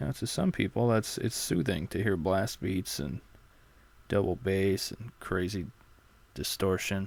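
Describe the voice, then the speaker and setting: The speaker talks at a fairly slow pace with vocal fry. Pitch moves in an ordinary way. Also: man, very deep, low pitch for a man. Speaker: comedian podcaster. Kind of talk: casual solo podcast. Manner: hesitant, many fillers.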